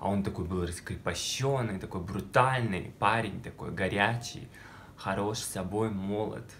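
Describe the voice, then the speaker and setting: A man speaks at a fairly slow pace with a fairly low pitch. His pitch varies in an ordinary way, over light background noise. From Russia, small village. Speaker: video blogger. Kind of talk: personal storytelling vlog. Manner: animated. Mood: playful, dramatic storytelling. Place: home room. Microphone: phone near.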